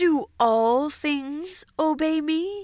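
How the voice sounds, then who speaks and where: A woman puts on a character voice pitched high. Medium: read story. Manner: calm, regal.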